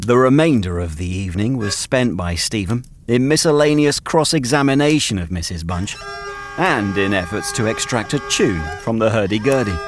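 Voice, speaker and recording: A man's fairly low voice at a moderate pace, with lively intonation and music in the background. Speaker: audiobook narrator. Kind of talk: story narration.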